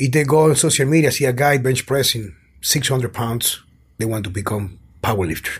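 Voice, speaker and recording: Somewhat breathy speech in a Spanish accent, at a moderate pace with ordinary pitch variation. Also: man, medium pitch for a man. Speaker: personal trainer and strength coach. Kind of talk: interview conversation.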